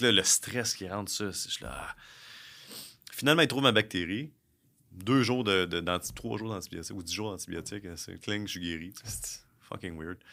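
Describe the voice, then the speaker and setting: A man with a fairly low pitch speaks at a moderate pace with ordinary pitch variation, big swings in loudness and long, frequent pauses. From Quebec (South Shore of Montreal). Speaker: recruiter and entrepreneur. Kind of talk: casual interview. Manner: halting, many fillers and repetitions.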